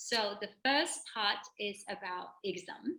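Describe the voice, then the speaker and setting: Bright, sharp tone from a woman at a medium pitch. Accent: non-native. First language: not English. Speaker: personal trainer. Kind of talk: tutorial. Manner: halting.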